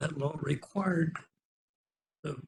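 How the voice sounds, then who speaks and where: A man's fairly high voice with vocal fry and an American accent. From Oklahoma. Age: 80s+. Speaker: public commenter, retired intelligence analyst. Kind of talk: public hearing comment.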